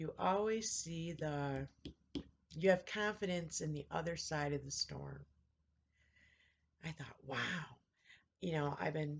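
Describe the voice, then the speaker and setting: At a fairly slow pace with long, frequent pauses, a woman speaks in a very deep, low, somewhat breathy voice with ordinary pitch variation. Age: 50s. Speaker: vlogger. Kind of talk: casual chat.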